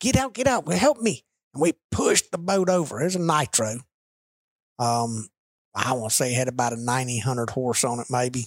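With a Southern US accent, a man talks at a moderate pace and medium pitch with ordinary pitch variation, in a dry, close sound with no echo. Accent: Southern US (Georgia). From US South, Rome, Georgia. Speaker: business executive and cattle farmer. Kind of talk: casual chat. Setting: office.

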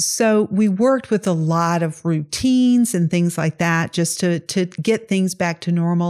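Lively in intonation, a woman with a Southern US accent speaks fairly slowly at a medium pitch. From US South, Mississippi. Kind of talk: testimony.

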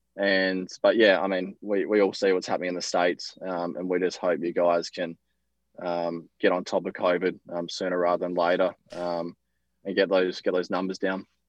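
Speaking at a moderate pace, a man with an Australian accent has a very deep, low pitch and flat, monotone intonation. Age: 20s. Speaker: professional tennis player. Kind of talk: interview.

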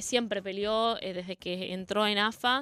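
A woman speaks at a moderate pace in a fairly high pitch, her intonation fairly even, with music playing in the background. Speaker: women's football player. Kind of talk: radio interview.

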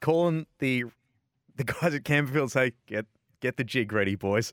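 With an Australian accent, a man speaks at a medium pitch and a moderate pace, his tone energetic and his intonation lively, in a dry, close recording with no echo. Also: very clean recording, silent background. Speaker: motorsport podcast host. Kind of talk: casual radio-style patter. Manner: chatty, jokey, energetic.

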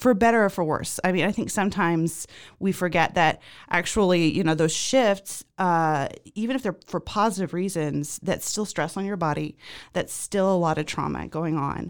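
An American woman talks at a moderate pace with a fairly low pitch and ordinary pitch variation. The recording is very clean, with a silent background. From Zimbabwe, later US. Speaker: podcast guest sharing life story. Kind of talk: interview, personal testimony. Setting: podcast studio.

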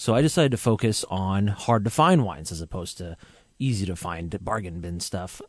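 Against a quiet background, a man with an ordinary speaking voice talks at a fairly low pitch, using lively intonation and big swings in loudness. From Vancouver, Washington, US (born in Iran). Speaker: sommelier and online wine retailer. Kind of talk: casual radio interview. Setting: radio studio.

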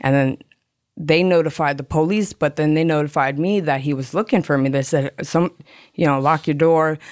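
A woman with an American accent talks at a moderate pace. Her pitch is very deep and low. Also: ordinary pitch variation. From South Florida (Hollywood, Florida). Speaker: person in addiction recovery. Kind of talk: personal testimony.

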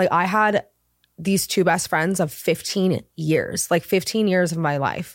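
In a very clean recording with a silent background, a woman with an American accent talks fairly slowly in a fairly low voice, her loudness very even and her intonation fairly even. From Southern California. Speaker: wardrobe stylist. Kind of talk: casual chat.

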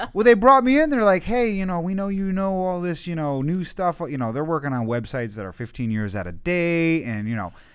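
A fairly high-pitched man at a fairly quick pace, with very wide pitch swings and hardly any pauses, on a very clean recording with a silent background. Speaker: podcast host. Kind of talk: casual interview.

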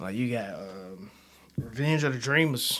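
A man speaks at a fairly slow pace. The room gives off an audible echo. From Chicago, West Side. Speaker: podcast host, college student. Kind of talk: casual solo commentary. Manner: animated.

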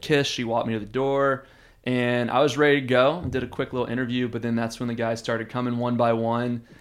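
Speaking at a very fast pace, a man with an American accent holds a medium pitch in monotone, flat intonation. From Texas, Houston. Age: 30s. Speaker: reality TV contestant. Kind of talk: casual chat. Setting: studio.

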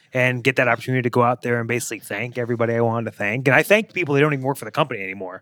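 Speaking at a very fast pace, a man with a medium-pitched voice and a bright, sharp tone comes through dry and close, with no echo. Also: ordinary pitch variation, hardly any pauses. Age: 30s. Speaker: professional wrestler. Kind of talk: casual chat.

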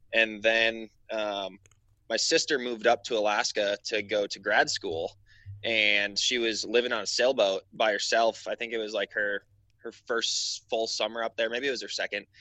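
A man with an American accent speaks at a moderate pace and medium pitch. His intonation is monotone and flat. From Wisconsin. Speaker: mapping app marketing specialist. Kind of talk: casual interview.

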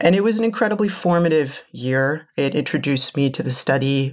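In a Midwestern accent, the speaker keeps a moderate pace on a very clean recording with a silent background. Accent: American Midwest. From Minneapolis, Minnesota (Israeli-born, moved at six). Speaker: nonprofit CEO. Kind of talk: interview conversation. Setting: in person.

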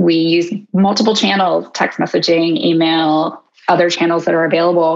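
This woman has an unremarkable speaking voice, fairly low pitch and ordinary pitch variation. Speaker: behavioral scientist. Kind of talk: interview conversation. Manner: articulate, professional.

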